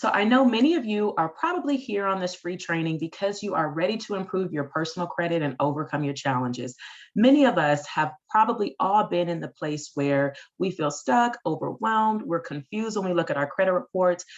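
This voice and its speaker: A woman talks at a fairly quick pace in a medium pitch, her voice making very wide pitch swings. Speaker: financial consultant, company CEO. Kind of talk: webinar training presentation. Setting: online webinar. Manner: fast talker.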